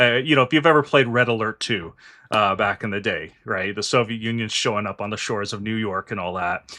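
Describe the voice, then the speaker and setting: A man with a Canadian accent talks at a fairly quick pace in a fairly low, bright, sharp voice with ordinary pitch variation, on a very clean recording with a silent background. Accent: Canadian accent, noticeable. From Canada. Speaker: finance and politics channel host. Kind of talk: political discussion with a guest.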